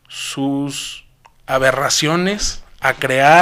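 With a normal speaking voice, a man talks at a fairly high pitch and fairly even intonation. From Mexico, Zacatecas. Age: 20s. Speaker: young politician and public servant. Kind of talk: interview.

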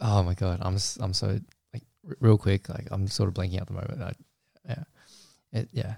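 Somewhat breathy, dark, mellow male voice at a fairly low pitch with ordinary pitch variation, a fairly quick pace and long, frequent pauses, dry and close with no echo in a very clean recording with a silent background. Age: 20s. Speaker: podcast host and photographer. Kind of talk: casual chat.

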